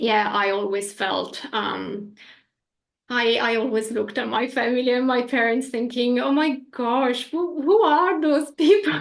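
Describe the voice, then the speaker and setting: Talking at a fairly slow pace, a woman with an Italian accent uses a high pitch and lively intonation. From northern Italy. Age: 40s. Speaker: energy healing practitioner. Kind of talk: interview. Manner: animated.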